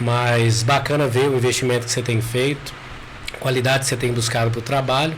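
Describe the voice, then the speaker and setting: A man speaks at a fairly quick pace in a medium pitch, with monotone, flat intonation and very even loudness. Noticeable background noise and audible room echo are present. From Brazil, eastern Minas Gerais (Caratinga region). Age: 30s. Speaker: psychologist and local councillor. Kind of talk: podcast interview. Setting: studio.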